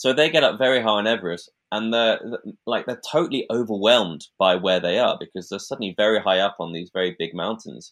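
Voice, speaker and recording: Fairly quick and lively in intonation, a plain, everyday voice carries the speech. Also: man, fairly low pitch for a man. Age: 30s. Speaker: mountain sports photographer and alpinist. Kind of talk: casual interview.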